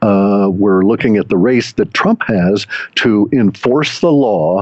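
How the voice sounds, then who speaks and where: In an ordinary speaking voice, a man talks at a fairly slow pace with fairly low pitch and ordinary pitch variation. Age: 60s. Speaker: data mining forecaster. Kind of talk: interview.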